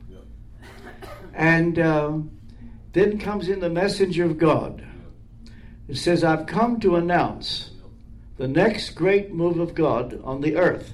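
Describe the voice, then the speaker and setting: A man speaks very slowly in a high voice with ordinary pitch variation. His pauses are long and frequent. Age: 80s. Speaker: minister and author. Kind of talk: casual conversation with prayer.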